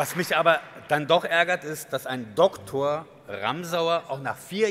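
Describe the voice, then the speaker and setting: This man's bright, sharp tone comes through at a fairly slow pace. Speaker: advocacy group chair; guest. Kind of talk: guest speech. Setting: stage with audience. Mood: critical, ironic. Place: hall. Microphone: podium.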